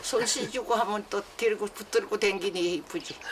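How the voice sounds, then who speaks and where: Amid noticeable background noise, a woman of medium pitch speaks at a fairly slow pace. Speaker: elderly farmer wife. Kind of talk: casual chat.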